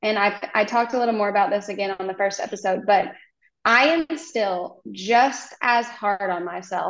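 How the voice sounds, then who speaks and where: A woman with an American accent and an ordinary speaking voice speaks at a moderate pace and medium pitch, with ordinary pitch variation and a quiet background. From Oklahoma. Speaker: hairstylist and content creator. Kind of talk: casual chat.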